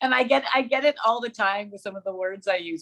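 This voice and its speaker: Speaking very fast, a woman with a Manitoba accent has a bright, sharp tone. Her pitch sits in the medium range. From Manitoba, Canada (small farm town). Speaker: radio co-host and journalist. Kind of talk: casual interview chat. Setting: podcast interview.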